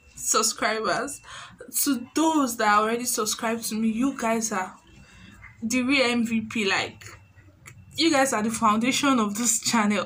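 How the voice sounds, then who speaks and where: In a Nigerian accent, a woman speaks at a fairly slow pace with a fairly high pitch. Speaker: YouTuber and tailor. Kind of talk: vlog tutorial talk. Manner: animated. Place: home room. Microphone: phone near.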